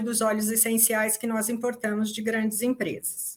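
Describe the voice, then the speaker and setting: A woman at a fairly high pitch, recorded very cleanly against a silent background. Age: 60s. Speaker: psychologist and essential oil company founder. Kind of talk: workshop talk.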